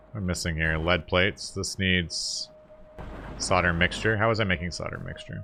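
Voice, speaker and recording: A man's very deep, low voice with noticeable background noise. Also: ordinary pitch variation, moderate pace. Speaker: gaming video creator. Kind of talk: gameplay commentary. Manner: casual, conversational.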